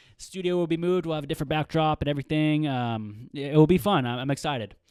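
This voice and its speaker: Fairly high for a man, this voice carries an American accent and lively intonation. The recording is very clean with a silent background, and the sound is dry and close with no echo. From US Pacific Northwest, Seattle area. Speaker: sports podcast host. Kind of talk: casual solo podcast talk. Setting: home studio. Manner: fast.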